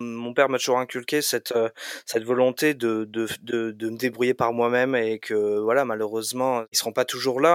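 The recording is very clean, with a silent background and a dry, close sound with no echo. A man speaks at a medium pitch with fairly even intonation. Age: 20s. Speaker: computer science student. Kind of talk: interview. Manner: hesitant, many fillers.

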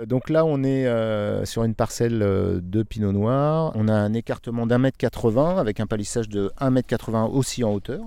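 A man's dark, mellow voice at medium pitch, fairly slow, with ordinary pitch variation, on a very clean recording with a silent background. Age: 50s. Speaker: winegrower. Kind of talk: interview.

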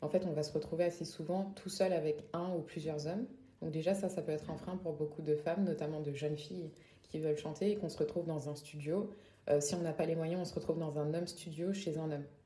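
A woman talks fairly quickly in a very deep, low voice, with a Parisian accent. Her intonation stays fairly even, and the room echo is audible. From Paris area, France. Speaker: singer-songwriter. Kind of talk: interview.

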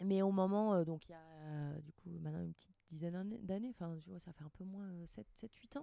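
Her voice has a dark, mellow tone and fairly low pitch, and this woman speaks at a fairly quick pace with ordinary pitch variation and big swings in loudness. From Normandy, France. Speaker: shop owner. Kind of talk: casual chat. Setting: tiny house. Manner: talkative.

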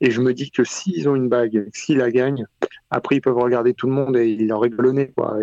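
A man speaks at a moderate pace in a normal speaking voice, medium in pitch with fairly even intonation, and the sound is dry and close with no echo. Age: 30s. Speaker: basketball fan, sports Twitter user. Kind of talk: casual chat.

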